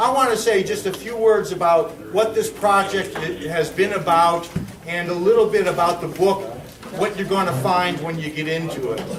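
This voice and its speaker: Loud and high-pitched, a man speaks with ordinary pitch variation over noticeable background noise and audible room echo. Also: moderate pace. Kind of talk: public speech. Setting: lodge hall with audience. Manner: halting.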